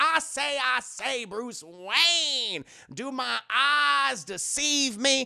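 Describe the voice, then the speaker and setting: In a put-on character voice with a strong Southern US accent, the fairly high-pitched speaker drawls at a very slow pace. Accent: thick Southern American. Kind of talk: pompous, exaggerated.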